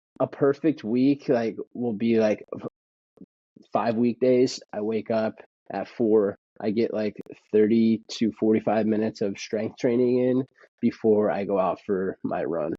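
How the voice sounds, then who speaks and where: At a fairly slow pace, a man with a medium pitch and an American accent speaks with fairly even intonation in a normal speaking voice. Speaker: runner in addiction recovery. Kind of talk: casual interview.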